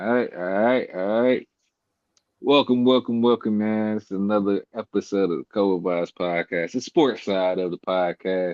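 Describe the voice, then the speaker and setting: A man speaks at a moderate pace. His voice is fairly low. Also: ordinary pitch variation. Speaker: sports podcast host. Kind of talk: casual sports chat. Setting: home. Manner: speaking quietly.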